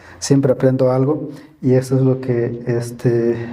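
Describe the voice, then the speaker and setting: There is audible room echo around a man whose voice has a dark, mellow tone. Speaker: guest preacher. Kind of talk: sermon. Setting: church. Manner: halting, many fillers and repetitions; sometimes very slow and quiet.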